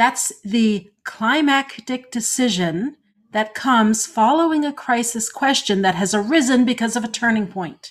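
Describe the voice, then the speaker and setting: Fairly slow and fairly high-pitched, a woman talks in a plain, everyday voice with ordinary pitch variation. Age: 50s. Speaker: podcast co-host and story editor. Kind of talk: casual chat.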